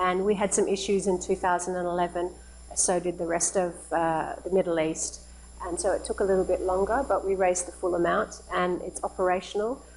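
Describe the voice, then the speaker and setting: An Australian accent at a fairly quick pace, with noticeable background noise. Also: woman. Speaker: charity founder and president. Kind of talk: lecture. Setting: live-streamed academic meeting. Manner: conversational with fillers.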